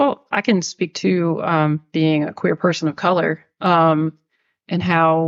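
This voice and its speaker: A woman with an American accent and a normal speaking voice talks at a fairly low pitch with fairly even intonation, in a dry, close sound with no echo. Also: quiet background. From New York. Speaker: LGBTQ+ organization member. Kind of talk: podcast conversation.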